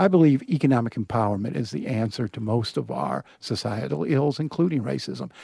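Vocal fry runs through a man's dark, mellow, medium-pitched voice. He speaks at a fairly quick pace with hardly any pauses and very wide pitch swings. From rural Kentucky (Appalachian foothills). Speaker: newspaper editorial page editor. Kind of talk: casual chat. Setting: recording booth.

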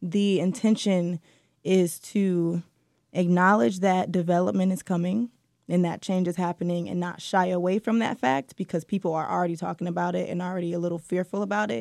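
Her plain, everyday voice, fairly low in pitch with an American accent, moves at a fairly quick pace with ordinary pitch variation as this woman is captured in a dry, close sound with no echo on a very clean recording with a silent background. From Detroit, east side. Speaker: journalist. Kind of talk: interview.

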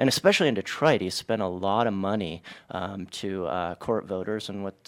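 The recording is very clean, with a silent background. A man speaks at a moderate pace in a fairly low voice with ordinary pitch variation. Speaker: political reporter. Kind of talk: radio interview. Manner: halting.

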